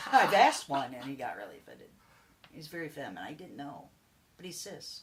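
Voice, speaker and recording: Someone talks at a fairly quick pace with an American accent and lively intonation. Noticeable background noise runs underneath. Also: woman, very deep, low pitch for a woman. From Indiana, US Midwest. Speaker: podcast co-host. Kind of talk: casual chat.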